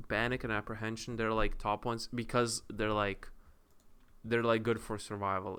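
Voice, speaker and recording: The man's tone is bright and sharp. Nothing but silence sits behind this very clean recording. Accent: non-native. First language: not English. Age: 20s. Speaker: content creator. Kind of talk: casual monologue. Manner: halting.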